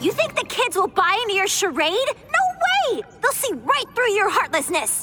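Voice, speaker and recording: An extremely high, female-sounding put-on character voice at a moderate pace over loud background noise. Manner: defiant, indignant.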